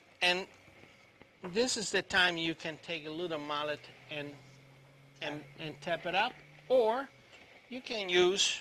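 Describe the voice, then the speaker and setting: A man speaks at a high pitch with ordinary pitch variation. His pace is fairly slow, broken by long, frequent pauses. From Italy, Rome region. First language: Italian. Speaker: chef teaching cooking class. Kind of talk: cooking demonstration. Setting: live video stream cooking class. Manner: halting, repetitive.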